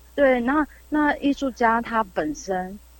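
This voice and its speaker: A woman's high voice moves with lively intonation. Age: young. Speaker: artist. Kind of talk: casual interview. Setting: remote call.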